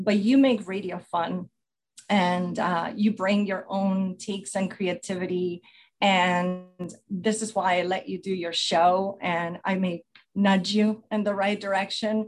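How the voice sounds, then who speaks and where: A woman speaks very slowly with a warm tone, at a medium pitch and in a monotone, flat intonation. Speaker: station advisor or mentor. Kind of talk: heartfelt farewell speech. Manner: warm, emotional.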